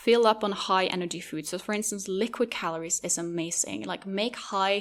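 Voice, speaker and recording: A woman speaks with a Norwegian accent at a moderate pace. Her medium pitch follows fairly even intonation. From Norway. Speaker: podcast host. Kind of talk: podcast monologue.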